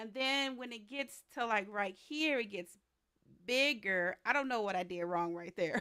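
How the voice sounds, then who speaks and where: The voice has a bright, sharp tone and very wide pitch swings, moving at a fairly slow pace in a very clean recording with a silent background. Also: woman. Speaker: streamer. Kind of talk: casual chat.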